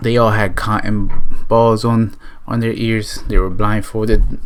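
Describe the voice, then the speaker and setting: An animated man's voice at medium pitch, over noticeable background noise. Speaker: YouTuber, storyteller. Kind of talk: storytelling vlog. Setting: talking to camera. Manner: casual, animated.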